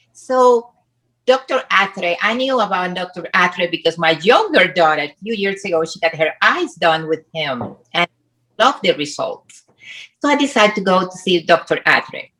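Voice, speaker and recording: A woman with a bright, sharp tone and a medium pitch speaks at a moderate pace with lively intonation. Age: 60s. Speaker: plastic surgery patient, personal trainer. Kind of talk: interview. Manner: halting non-native phrasing.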